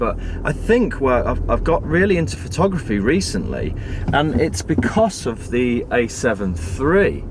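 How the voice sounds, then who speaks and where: Over noticeable background noise and audible room echo, a man talks with a British accent. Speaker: tech vlogger. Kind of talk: casual vlog talk. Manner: halting, stammering.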